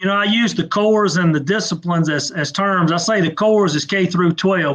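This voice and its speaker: A man with a Southern US accent speaks in a high voice. His intonation is fairly even and his pace moderate. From Mississippi, US South. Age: 50s. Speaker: trade association executive. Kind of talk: interview. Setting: live online video interview.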